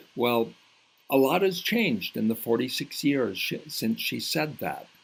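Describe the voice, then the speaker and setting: Vocal fry runs through a man's speech at a fairly slow pace. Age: 60s. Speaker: patient advocate and speaker. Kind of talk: recorded talk with slides. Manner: occasional hesitations.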